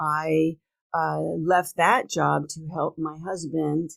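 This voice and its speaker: A woman with a very deep, low pitch speaks at a very slow pace in a dry, close sound with no echo on a very clean recording with a silent background. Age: 60s. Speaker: entrepreneur and podcast host. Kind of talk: casual interview chat.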